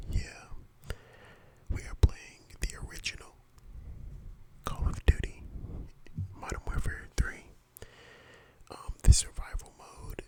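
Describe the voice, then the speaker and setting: Whispering in a relaxed tone, a man goes at a fairly slow pace with long, frequent pauses and big swings in loudness over noticeable background noise. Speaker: gaming ASMR YouTuber. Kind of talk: casual talk to camera, voiceover commentary. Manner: relaxed, casual, conversational.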